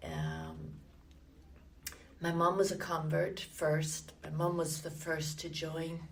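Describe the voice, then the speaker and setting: In audible room echo, a woman with a Limerick accent talks at a very slow pace with long, frequent pauses and big swings in loudness. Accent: Irish (Limerick). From Ireland (Limerick, southwest). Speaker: church member interviewee. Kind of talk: oral history interview. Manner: hesitant, many fillers.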